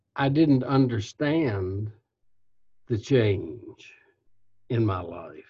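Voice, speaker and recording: A man with an American accent speaks at a very slow pace, somewhat breathy and dark and mellow in tone, with lively intonation and long, frequent pauses. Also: medium pitch for a man. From Kentucky, US South. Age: 80s. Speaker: retired company CEO, author. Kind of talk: interview, reflective storytelling. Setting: remote call.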